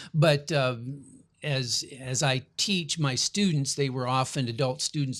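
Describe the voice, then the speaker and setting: In a very clean recording with a silent background, a man with a normal speaking voice talks at medium pitch with fairly even intonation. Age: 60s. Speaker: family studies professor. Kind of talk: interview.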